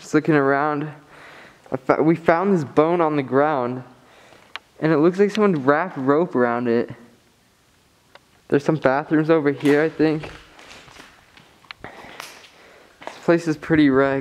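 A man speaks at a fairly slow pace with fairly even intonation. His speech has long, frequent pauses. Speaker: urban explorer vlogger. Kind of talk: casual vlog chat. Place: factory. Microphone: phone near.

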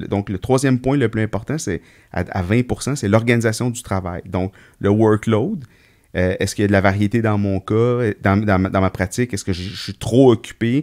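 A man in an ordinary speaking voice talks at a moderate pace with ordinary pitch variation, the sound dry and close with no echo and the recording very clean against a silent background. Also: fairly low pitch for a man. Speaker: veterinarian podcast co-host. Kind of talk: casual chat.

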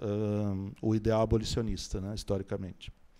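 Speaking fairly slowly, a man has a medium pitch and a dark, mellow tone. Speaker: professor and panel speaker; professor, speaker. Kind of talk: panel talk to audience. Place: hall. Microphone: handheld.

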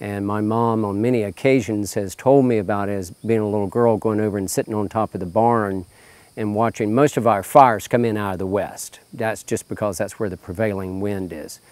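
A man talks at a fairly quick pace in a fairly low voice. His intonation stays fairly even, and the sound is dry with no echo. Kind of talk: interview answer. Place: farm machine. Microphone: lapel.

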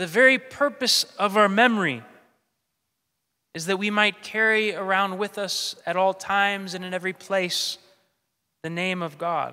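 A man's raised, projected voice at a moderate pace, with long, frequent pauses and a quiet background. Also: ordinary pitch variation. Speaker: priest. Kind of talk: sermon. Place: church. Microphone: podium.

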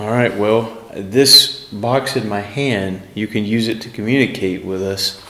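A man talks at a fairly slow pace with ordinary pitch variation, and the room echo is audible. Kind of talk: casual commentary. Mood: uneasy, reflective. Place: hall.

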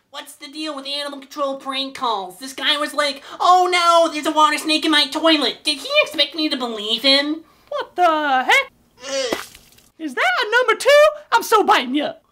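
The voice is a cartoonish character voice with a high pitch. It moves at a moderate pace. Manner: sarcastic, dismissive.

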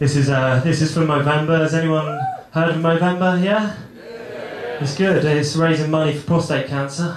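A man's fairly high-pitched voice amid audible room echo and noticeable background noise. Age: 20s. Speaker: stand-up comedian. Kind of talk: stand-up. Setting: stage with audience.

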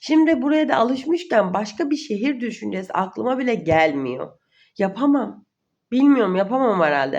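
Very wide pitch swings mark a woman's speech at a moderate pace. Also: fairly high pitch for a woman. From Uşak, Turkey. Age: 20s. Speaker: vlogger. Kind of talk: casual Q&A monologue. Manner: trying to sound energetic.

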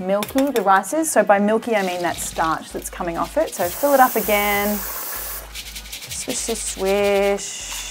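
Woman's voice with ordinary pitch variation and hardly any pauses, over faint music in the background. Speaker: cooking show host. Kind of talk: tutorial. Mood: playful, cheerful.

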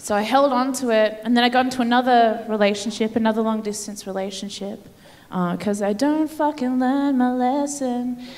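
With an Australian accent, a woman talks at a fairly quick pace in a high pitch and fairly even intonation. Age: 30s. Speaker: comedian. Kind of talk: stand-up. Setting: stage with audience. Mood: playful, mock-sincere. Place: stage. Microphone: handheld.

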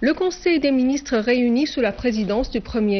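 A woman talks in a plain, everyday voice. Her pitch variation is ordinary. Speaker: TV news anchor. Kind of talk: formal state-TV news bulletin reading. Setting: TV studio. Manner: formal, measured and declamatory, reading long official sentences.

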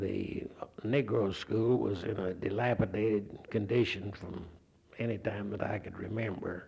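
Speaking with an Oklahoma accent, a man talks at a fairly slow pace in a fairly low pitch with fairly even intonation. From Oklahoma, near Enid. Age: 70s. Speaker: retired physics professor. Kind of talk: oral history interview. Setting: recorded interview with handheld mic. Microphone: old recording.

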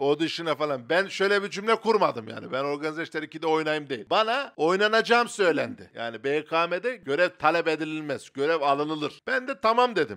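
A man with a fairly high pitch speaks in an animated, bright, sharp tone. His intonation is lively, and the background is quiet. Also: moderate pace, hardly any pauses. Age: 30s. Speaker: comedian; comedian podcast co-host. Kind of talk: casual chat. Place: studio. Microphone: handheld.

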